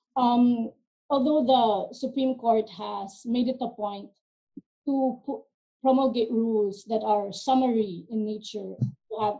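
Over a quiet background, a woman with a fairly high pitch and a dark, mellow tone speaks at a fairly slow pace with ordinary pitch variation. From Philippines. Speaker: arbitration lawyer. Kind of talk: webinar panel discussion. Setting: video call. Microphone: video call.

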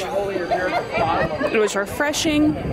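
A woman speaks with crowd noise in the background. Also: dry sound with no echo. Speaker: travel vlogger. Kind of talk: casual vlog chat. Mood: enthusiastic about food. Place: street. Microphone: phone near.

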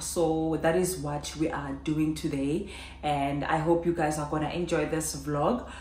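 Over light background noise and audible room echo, a woman with a very deep, low pitch talks at a very slow pace with ordinary pitch variation. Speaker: vlogger. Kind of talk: casual vlog chat. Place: home room.

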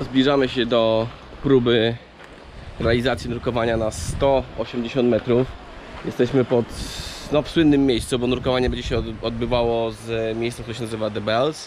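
Medium-pitched male speech at a moderate pace, monotone and flat, dry with no echo, over light background noise. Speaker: diving instructor vlogger. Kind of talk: on-location vlog narration. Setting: outdoors at dive site. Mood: wry, mildly annoyed. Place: beach. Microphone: phone near.

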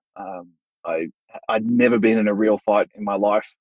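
With an Australian accent, a man speaks in a fairly low, monotone, flat voice. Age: 30s. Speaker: martial arts instructor. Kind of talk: casual interview. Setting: remote recording.

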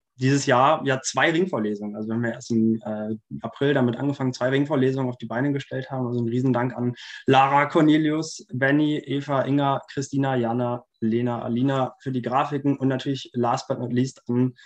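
Against a quiet background, a man's intonation stays fairly even. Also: fairly quick pace. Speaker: student organizer hosting a lecture. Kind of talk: introductory remarks to online lecture audience. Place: home room. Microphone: video call.

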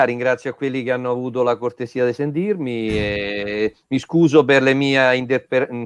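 A man speaks at a moderate pace in a medium pitch with ordinary pitch variation, with a dry sound with no echo. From central Italy, Camerino area (Marche); Marche, Italy. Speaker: engineer, webinar speaker; webinar speaker. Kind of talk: webinar closing remarks. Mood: friendly, joking. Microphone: video call.

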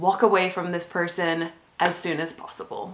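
The woman's speech moves at a moderate pace. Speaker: dating advice vlogger. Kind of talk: casual vlog chat. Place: home room.

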